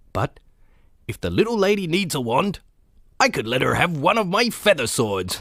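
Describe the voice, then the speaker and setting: A man's put-on character voice, high in pitch with very wide pitch swings, at a moderate pace with long, frequent pauses. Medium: read story. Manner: hearty, jovial.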